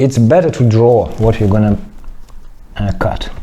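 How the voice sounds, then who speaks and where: A man talks with a non-native accent. Noticeable background noise runs behind him. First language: not English. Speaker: clay modelling teacher. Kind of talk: tutorial. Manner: halting.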